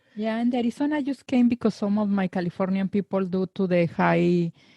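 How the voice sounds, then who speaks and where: Somewhat breathy and dark, mellow in tone, a woman with a Spanish accent talks at a fairly quick pace with ordinary pitch variation, recorded dry and close with no echo. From Mexico, Guadalajara. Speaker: psychologist. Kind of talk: interview conversation.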